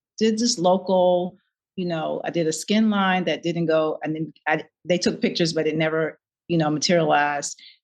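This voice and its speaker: A woman speaks with a fairly low pitch. Her intonation stays fairly even. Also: moderate pace. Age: 60s. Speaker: nonprofit founder and model. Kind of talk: interview. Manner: halting.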